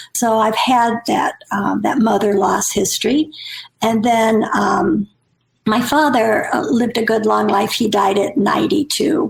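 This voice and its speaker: With vocal fry and very even loudness, a woman speaks at a fairly slow pace with ordinary pitch variation. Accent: American. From Nebraska, US Midwest. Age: 70s. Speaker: author. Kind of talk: podcast interview.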